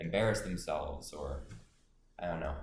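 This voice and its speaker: A man's very deep, low voice, somewhat breathy, at a moderate pace with audible room echo. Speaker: college student vlogger. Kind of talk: vlog monologue. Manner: hesitant, many fillers.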